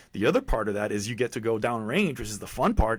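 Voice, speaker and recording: Recorded very cleanly against a silent background, a man with a Spanish accent speaks in a medium-pitched voice. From Puerto Rico. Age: 50s. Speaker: military veteran and fitness author. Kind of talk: podcast interview.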